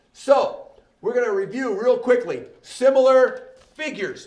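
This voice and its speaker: A man talks with ordinary pitch variation. Audible room echo and noticeable background noise surround him. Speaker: math teacher. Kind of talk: lecture. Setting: recorded video lesson.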